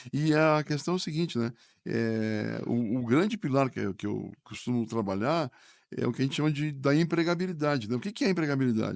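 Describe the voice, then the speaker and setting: A man's fairly high voice with lively intonation at a fairly quick pace, over a quiet background. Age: 60s. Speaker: business school professor. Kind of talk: podcast interview. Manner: hesitant, repeats words.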